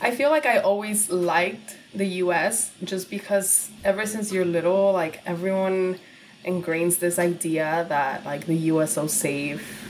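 A woman speaks at a fairly slow pace. Noticeable background noise runs beneath her. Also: medium pitch for a woman, ordinary pitch variation. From Laredo, Texas and Guadalajara, Mexico. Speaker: content creator and podcaster. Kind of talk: casual chat.

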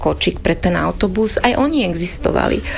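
A woman with a Hungarian accent at a moderate pace, over noticeable background noise. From southern Gemer, Slovakia (ethnic Hungarian). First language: Hungarian (speaking Slovak). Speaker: newspaper editor and author. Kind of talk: interview.

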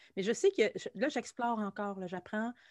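A woman's medium-pitched voice, fairly quick and fairly even in intonation, in a dry, close sound with no echo on a very clean recording with a silent background. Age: 40s. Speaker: musician and anxiety coach. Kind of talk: casual interview chat.

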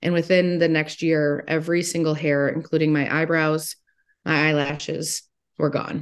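A woman with an American accent speaks at a moderate pace in a very deep, low voice, monotone and flat, at very even loudness. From Ohio, Toledo. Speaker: motivational speaker and teacher. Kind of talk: interview.

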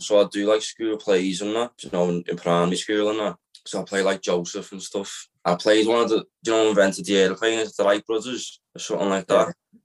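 A man with a Liverpool accent speaks at a fairly quick pace with hardly any pauses, his fairly low voice keeping fairly even intonation in a dry, close sound with no echo. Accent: Liverpool (Scouse). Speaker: film writer-director. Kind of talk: casual chat.

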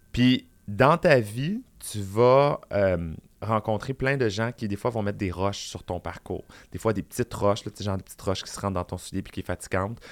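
Recorded very cleanly against a silent background, a normal speaking voice with ordinary pitch variation shows big swings in loudness in a dry, close sound with no echo. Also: man, fairly low pitch for a man, moderate pace. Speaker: drag queen and public speaker. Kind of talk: casual chat.

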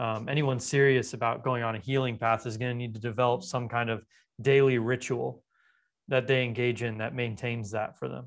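A man speaks with an American accent. His intonation is monotone and flat, over a quiet background. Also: medium pitch for a man, fairly quick pace. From US West Coast (Los Angeles). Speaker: Ayurvedic doctor. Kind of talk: interview.

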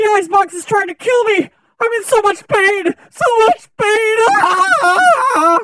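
An extremely high-pitched voice at a fairly slow pace. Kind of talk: infomercial overacting.

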